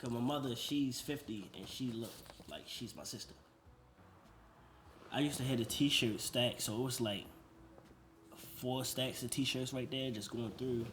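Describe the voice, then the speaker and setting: A man at a moderate pace with fairly even intonation, long, frequent pauses and audible room echo. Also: medium pitch for a man. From Baltimore, Maryland (US). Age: 30s. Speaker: vintage store owner. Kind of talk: casual interview.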